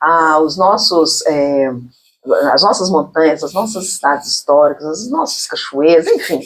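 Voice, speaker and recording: The speech comes at a fairly slow pace. It carries a mineiro accent. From Minas Gerais, Brazil. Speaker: talk show host. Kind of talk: casual interview chat. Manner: chatty, filler-heavy (né, sabe).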